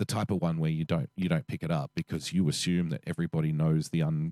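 In an Australian accent, a man speaks very fast with a very deep, low pitch and a dark, mellow tone. His intonation is monotone and flat, and the sound is dry and close with no echo. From Australia, Western Sydney. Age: 40s. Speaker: podcast co-host. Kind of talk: casual chat.

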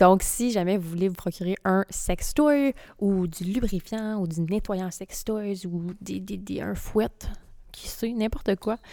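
Speaking at a very slow pace in a Quebec accent, a woman has a dark, mellow tone and ordinary pitch variation. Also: medium pitch for a woman. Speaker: podcast co-host. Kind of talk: sponsor read; casual chat.

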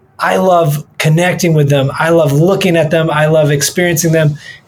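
A man with a fairly high pitch, fairly even intonation, an American accent, a plain, everyday voice and a moderate pace. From Michigan, US. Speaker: jazz pianist and music director. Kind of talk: casual interview chat.

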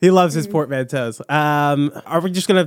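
This is a man with an American accent. The recording is very clean, with a silent background. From US Midwest. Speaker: podcast host. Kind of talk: casual chat.

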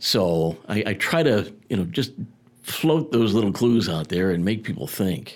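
A plain, everyday voice from a man of fairly low pitch, lively in intonation at a fairly slow pace. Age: 60s. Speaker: radio executive and broadcaster. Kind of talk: casual chat. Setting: studio.

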